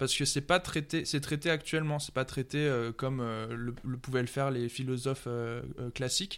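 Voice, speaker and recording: Recorded very cleanly against a silent background, a man with a medium-pitched voice speaks at a moderate pace with fairly even intonation. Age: 30s. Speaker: musician. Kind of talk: casual chat. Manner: halting.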